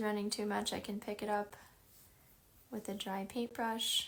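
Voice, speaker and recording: With a Chicago accent, a woman talks at a medium pitch in a monotone, flat intonation over noticeable background noise. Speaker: art teacher. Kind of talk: tutorial. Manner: casual, many filler ums.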